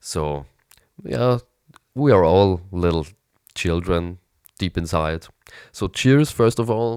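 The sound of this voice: Low male voice, nasal and raspy yet clear and smooth in tone, at a slow pace with long, frequent pauses. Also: lively intonation.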